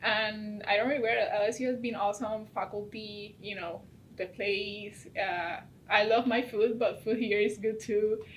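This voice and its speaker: A woman with a Puerto Rican accent speaks at a moderate pace and a fairly high pitch over noticeable background noise. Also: fairly even intonation. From Puerto Rico, Bayamón. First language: Spanish. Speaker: veterinary student. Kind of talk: interview.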